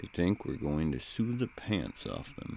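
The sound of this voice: Using a put-on character voice with a dark, mellow tone and vocal fry, the speaker moves at a fairly slow pace through very wide pitch swings. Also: man, extremely low pitch for a man.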